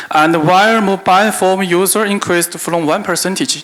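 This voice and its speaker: With a non-native accent, a man speaks using ordinary pitch variation. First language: Chinese. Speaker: business executive. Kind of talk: conference keynote. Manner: halting, reading from paper.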